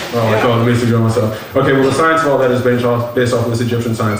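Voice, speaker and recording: A man's very fast, monotone, flat delivery with audible room echo and light background noise. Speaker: lecture presenter. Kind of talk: lecture. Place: hall. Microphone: pa.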